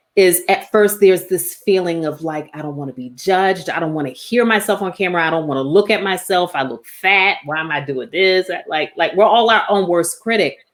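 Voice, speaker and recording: A plain, everyday voice from a woman at medium pitch, fairly quick and with hardly any pauses, with ordinary pitch variation. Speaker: sales trainer and speaker. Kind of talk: podcast interview.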